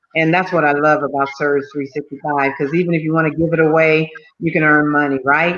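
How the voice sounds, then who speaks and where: Here a woman talks at a very fast pace. Her voice is very deep and low, with an American accent. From California. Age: 70s. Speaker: businesswoman. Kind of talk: interview. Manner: animated.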